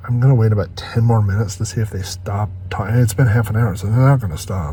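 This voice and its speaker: Someone whispers at a very fast pace in a room with audible echo. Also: man. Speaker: van life vlogger. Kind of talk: vlog monologue. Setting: inside a parked van at night. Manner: whispering.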